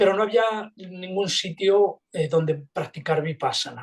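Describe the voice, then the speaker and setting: Moving at a fairly slow pace, a man talks with ordinary pitch variation. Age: 60s. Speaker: meditation teacher. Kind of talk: interview. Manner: halting.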